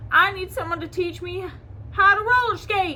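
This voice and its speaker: A woman's put-on character voice, squeaky and extremely high-pitched, at a moderate pace with big swings in loudness over light background noise. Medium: read story.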